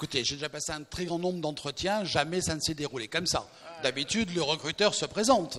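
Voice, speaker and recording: Talking at a fairly quick pace, a man uses a fairly high pitch and a bright, sharp tone with ordinary pitch variation. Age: 60s. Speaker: recruitment consultant. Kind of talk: staged sketch and speech at a new year event. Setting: event with audience.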